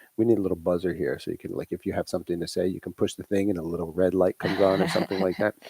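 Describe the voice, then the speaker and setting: Very fast and very deep, a man speaks in a dark, mellow tone with a slight Long Island accent, the sound dry and close with no echo. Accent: slight New York (Long Island). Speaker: private music instructor and livestream co-host. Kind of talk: casual live chat. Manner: halting, many restarts.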